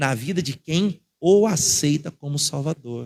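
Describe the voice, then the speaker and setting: This man speaks in a fairly high pitch with a Brazilian accent. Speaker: pastor. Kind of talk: sermon.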